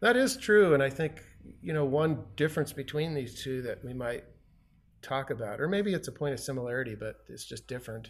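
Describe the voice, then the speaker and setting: An unremarkable speaking voice from a man, fairly high in pitch, with lively intonation at a fairly quick pace. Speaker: podcast co-host. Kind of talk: casual conversational podcast discussion.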